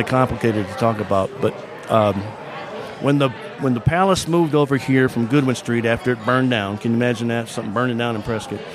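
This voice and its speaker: A man's medium-pitched voice at a fairly quick pace, ordinary pitch variation, long, frequent pauses and noticeable background noise. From Michigan. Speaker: local historian and author. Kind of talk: casual interview. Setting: restaurant saloon.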